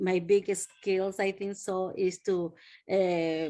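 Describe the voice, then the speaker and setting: Against a quiet background, a woman speaks very slowly at a medium pitch with monotone, flat intonation. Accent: Spanish. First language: Spanish. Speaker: nanny. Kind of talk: self-introduction in online meeting. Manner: halting.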